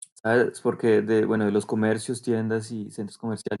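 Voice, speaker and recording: Over a very clean recording with a silent background, a man uses a plain, everyday voice at a medium pitch and a moderate pace. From Colombia. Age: 30s. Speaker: sales director. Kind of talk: podcast interview.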